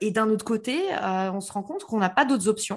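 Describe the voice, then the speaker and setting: Over a quiet background, a woman talks in an unremarkable speaking voice pitched fairly high. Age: 30s. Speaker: marketing entrepreneur. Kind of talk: interview.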